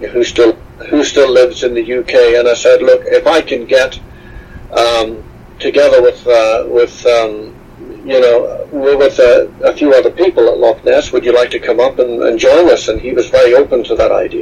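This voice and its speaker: Noticeable background noise runs under this recording. A man talks at a moderate pace. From Scotland, west coast (Stranraer). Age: 60s. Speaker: explorer and author. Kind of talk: interview.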